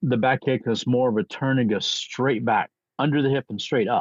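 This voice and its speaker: An unremarkable speaking voice from a man, medium in pitch, at a moderate pace with ordinary pitch variation. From US military bases. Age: 60s. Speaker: martial arts grandmaster. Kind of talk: interview storytelling.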